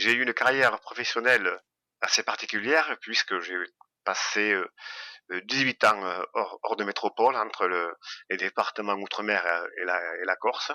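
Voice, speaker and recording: A man with a fairly low, bright and sharp voice speaks at a moderate pace with long, frequent pauses and ordinary pitch variation, the sound dry and close with no echo on a very clean recording with a silent background. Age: 60s. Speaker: retired customs officer. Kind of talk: interview. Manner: halting.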